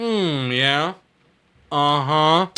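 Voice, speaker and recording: A put-on character voice at a middle pitch. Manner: sarcastic, mocking.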